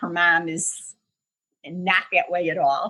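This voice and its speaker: The voice has a bright, sharp tone and moves at a very slow pace. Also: woman. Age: 70s. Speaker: triathlete, retired English teacher. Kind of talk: interview answer. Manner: conversational, with fillers.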